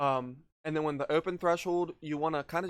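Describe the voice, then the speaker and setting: A man's intonation stays monotone and flat as he talks at a fairly quick pace. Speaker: streamer giving a tech tutorial. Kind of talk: tutorial. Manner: loud; many fillers, casual.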